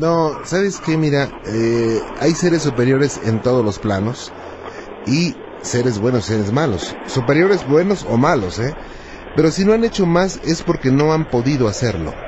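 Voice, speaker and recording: Over noticeable background noise, a man with a warm tone and a fairly high pitch speaks at a fairly slow pace with very even loudness. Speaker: radio host. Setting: radio studio with phone callers. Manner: warm, polite, curious, fluent, mildly jokey, narrates cases in an intrigued tone.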